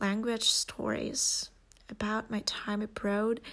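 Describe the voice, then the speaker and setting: Someone speaks at a very slow pace with a Russian accent. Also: woman. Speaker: podcast host and language learner. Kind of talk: scripted welcome monologue.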